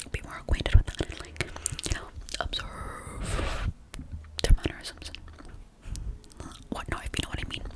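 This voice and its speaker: Over noticeable background noise, a woman whispers at a moderate pace, with long, frequent pauses and big swings in loudness. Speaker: ASMR creator. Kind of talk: whispered ASMR ramble. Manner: whispered; casual, rambling, repetitive.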